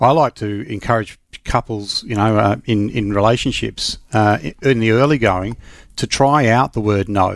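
Medium-pitched speech from a man with an Australian accent. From Western Australia. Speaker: safety investigator and consultant. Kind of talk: casual chat.

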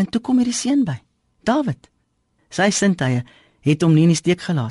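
This voice has a dark, mellow tone and is somewhat breathy, with a dry, close sound and no echo. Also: woman. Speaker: devotional speaker. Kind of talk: radio devotional.

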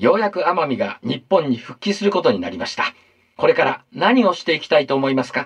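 Putting on a character voice, a man speaks at fairly high pitch with a husky, rough edge and big pitch swings. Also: fairly quick pace.

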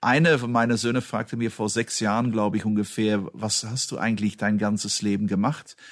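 An unremarkable speaking voice from a man, fairly low in pitch and fairly quick in pace, with fairly even intonation over a quiet background. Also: hardly any pauses. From Belgium. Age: 50s. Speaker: automotive executive. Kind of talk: interview.

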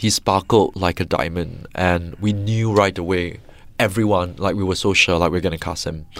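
A man's very deep, low voice at a moderate pace, with fairly even intonation. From Singapore. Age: 30s. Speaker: film director. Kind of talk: interview.

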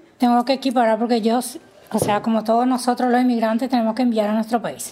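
A woman with a fairly high pitch amid noticeable background noise. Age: 50s. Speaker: domestic worker. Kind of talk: personal testimony interview. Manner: halting.

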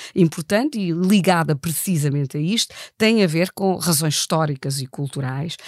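At a moderate pace, a woman with a fairly low pitch and lively intonation speaks in an unremarkable speaking voice, the sound dry and close with no echo on a very clean recording with a silent background. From Germany. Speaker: political science professor. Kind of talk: analytical interview.

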